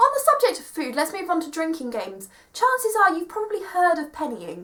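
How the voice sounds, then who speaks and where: Against noticeable background noise, a woman raises and projects her extremely high voice, speaking at a fairly quick pace with very wide pitch swings and big swings in loudness. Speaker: vlogger, university student. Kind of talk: casual vlog. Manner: animated.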